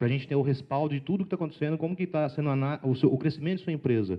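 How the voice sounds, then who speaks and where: The man's voice is fairly high. He rattles through his words very fast. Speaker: sales trainer and speaker. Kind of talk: lecture.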